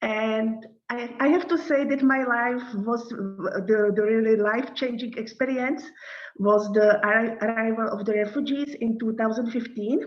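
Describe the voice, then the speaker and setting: A woman with a Czech accent, fairly high in pitch, at a moderate pace with ordinary pitch variation, amid audible room echo. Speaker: NGO director. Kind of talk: lecture. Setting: video call. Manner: halting.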